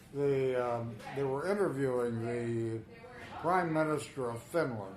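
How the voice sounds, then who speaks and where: A man at medium pitch and a fairly slow pace, ordinary pitch variation, noticeable background noise. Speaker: grandfather telling family stories. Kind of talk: recorded family storytelling, casual conversation.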